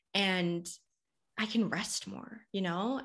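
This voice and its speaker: Against a quiet background, an unremarkable speaking voice talks with ordinary pitch variation. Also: woman. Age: 30s. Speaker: human design guide and business coach. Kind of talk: podcast interview.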